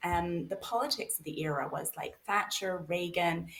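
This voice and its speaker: The woman has a fairly low pitch and sounds somewhat breathy. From Canada. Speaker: author and researcher. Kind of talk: podcast interview.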